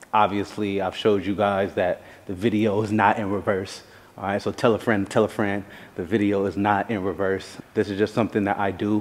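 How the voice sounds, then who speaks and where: Light background noise sits behind a man's voice. His pitch is fairly low. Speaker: fitness content creator. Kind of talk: casual vlog chat. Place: gym.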